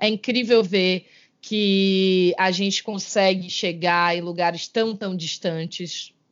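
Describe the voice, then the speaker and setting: A woman at a medium pitch, with fairly even intonation and a very slow pace. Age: 30s. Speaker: podcast co-host. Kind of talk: casual chat.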